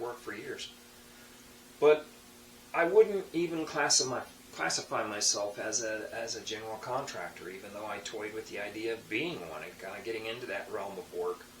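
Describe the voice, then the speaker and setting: Amid noticeable background noise and audible room echo, a man at medium pitch speaks at a moderate pace with lively intonation and big swings in loudness. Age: 60s. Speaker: tradesman and hobby woodturner. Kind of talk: casual monologue to camera. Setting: home workshop. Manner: halting, many fillers and restarts.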